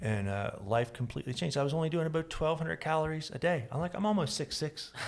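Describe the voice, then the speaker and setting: An American-accented man with a fairly high pitch speaks at a very fast pace, his intonation lively. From Florida. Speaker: podcast host. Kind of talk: casual chat.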